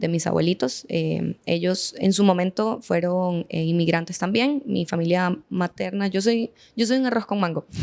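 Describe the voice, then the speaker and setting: Medium pitch for a woman, with ordinary pitch variation. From Venezuela. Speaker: veterinarian and clinic owner. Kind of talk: podcast interview.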